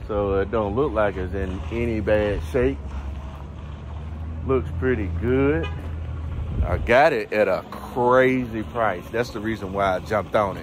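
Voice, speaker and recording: Light background noise sits behind a man whose fairly low voice moves at a fairly slow pace, with long, frequent pauses. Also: dry sound with no echo. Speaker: farmer vlogger. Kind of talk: casual vlog chat. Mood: excited, proud. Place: farm machine. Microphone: phone near.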